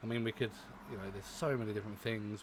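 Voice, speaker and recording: A man speaks with a British accent. His pitch is fairly low and his intonation fairly even. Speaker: reaction video creator. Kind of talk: casual vlog commentary. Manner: hesitant, many fillers.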